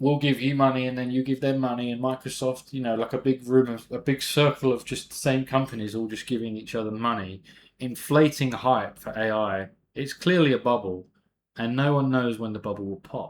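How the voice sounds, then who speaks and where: With a British accent, a man of medium pitch talks at a fairly quick pace with fairly even intonation, on a very clean recording with a silent background. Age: 30s. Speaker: amateur investing youtuber. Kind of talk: casual vlog monologue. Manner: casual, chatty.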